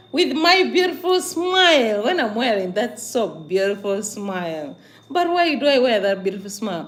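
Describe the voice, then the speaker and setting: With an animated tone and very wide pitch swings, a woman speaks at fairly high pitch and a moderate pace in a room with audible echo. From Uganda. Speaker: vlogger, migrant worker. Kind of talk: casual livestream monologue.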